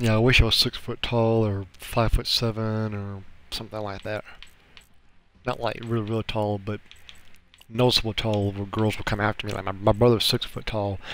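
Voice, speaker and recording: A moderate pace and a fairly low pitch from a man. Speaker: gaming streamer. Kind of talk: casual chat. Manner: halting.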